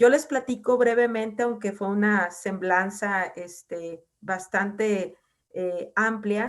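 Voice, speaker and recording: The pace of this woman's speech is very slow. Her voice sits at a medium pitch. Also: ordinary pitch variation. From northwestern Mexico (Mazatlán, Sinaloa). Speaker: university researcher and program coordinator. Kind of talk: lecture. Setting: video call.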